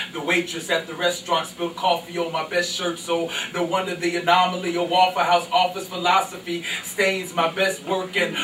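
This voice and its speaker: At a high pitch and fairly quick pace, a man talks in a monotone, flat way, with audible room echo and light background noise. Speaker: spoken word poet. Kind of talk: spoken word poetry performance at open mic. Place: stage.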